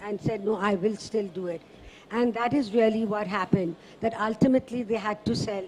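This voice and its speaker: Noticeable background noise sits under a woman talking at a moderate pace with a fairly high pitch. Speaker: author and journalist. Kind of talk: literary festival book discussion.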